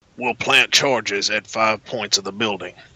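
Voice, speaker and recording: A man speaks in a put-on character voice, with a dry, close sound and no echo. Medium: audio drama. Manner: terse, businesslike.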